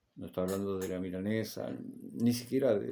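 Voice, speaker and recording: Audible room echo surrounds a man's dark, mellow tone at a fairly low pitch. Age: 60s. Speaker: Bible teacher. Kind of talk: lecture; personal testimony. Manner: halting.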